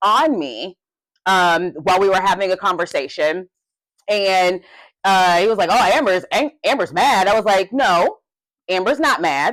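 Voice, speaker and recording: A woman speaks at a medium pitch and a moderate pace. The recording is very clean with a silent background. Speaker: podcast co-host. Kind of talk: casual chat. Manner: passionate.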